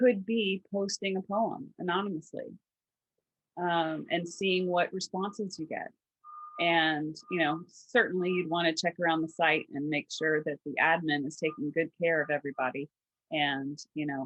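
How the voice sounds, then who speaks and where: At a moderate pace, a woman with a slight Southern US accent speaks in a fairly low pitch with ordinary pitch variation. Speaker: podcast co-host, trauma resource platform founder. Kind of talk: casual chat.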